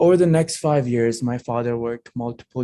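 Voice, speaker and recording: Dry and close with no echo, a man's dark, mellow voice comes at medium pitch and a moderate pace, with fairly even intonation and a non-native accent. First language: not English. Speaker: program alumnus. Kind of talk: prepared personal testimony speech. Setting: hybrid holiday event.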